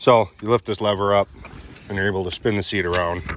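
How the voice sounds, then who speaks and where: A man keeps his intonation fairly even while speaking at a moderate pace. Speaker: tractor owner and reviewer. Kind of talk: product walkaround review. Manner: monotone; casual.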